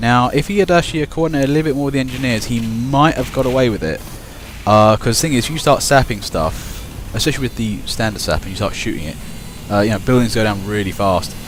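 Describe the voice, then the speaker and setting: Backed by music, a man with a Kent accent talks at a very fast pace in medium pitch with lively intonation. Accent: Kentish. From Kent, southeast England. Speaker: video game commentator. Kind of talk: live commentary. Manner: casual, rambling with hesitations.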